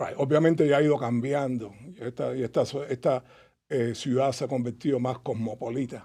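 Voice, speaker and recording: In a dark, mellow tone, a man of medium pitch speaks at a moderate pace with fairly even intonation, on a very clean recording with a silent background. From Cuba, Havana. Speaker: author and Cuban emigrant. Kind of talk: casual interview chat.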